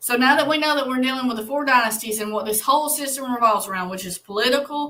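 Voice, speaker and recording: A woman with an Alabama accent, lively intonation and a bright, sharp tone. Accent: US Southern (Alabama). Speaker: Bible study livestream host. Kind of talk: livestream Bible study. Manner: casual, conversational.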